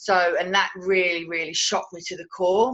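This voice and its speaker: In a Cockney accent, a woman speaks fairly quickly at a medium pitch, her tone bright and sharp and her intonation fairly even. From London, England (Cockney). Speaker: Reiki teacher and coach. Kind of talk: interview testimony. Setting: video interview. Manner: halting.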